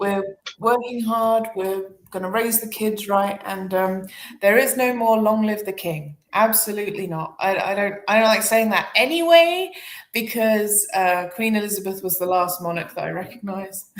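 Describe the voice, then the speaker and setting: A woman with a British accent talks with ordinary pitch variation. Room echo can be heard around her voice. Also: medium pitch for a woman, moderate pace. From Britain. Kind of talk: casual chat.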